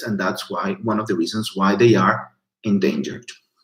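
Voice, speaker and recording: With a Portuguese accent, a man speaks at a moderate pace in a fairly low pitch with ordinary pitch variation. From Portugal. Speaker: biologist and researcher. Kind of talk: online educational talk. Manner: halting.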